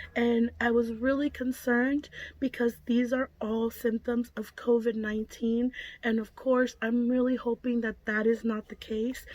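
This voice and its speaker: Speaking at a fairly slow pace, a woman holds a high pitch in a flat, monotone delivery. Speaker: prepping vlogger. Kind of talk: vlog. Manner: short of breath.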